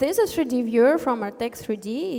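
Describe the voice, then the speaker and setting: A woman with a Russian accent, fairly high in pitch, with ordinary pitch variation and a moderate pace. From Russia, Tver. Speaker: front-end developer. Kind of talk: conference talk. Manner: halting, many fillers.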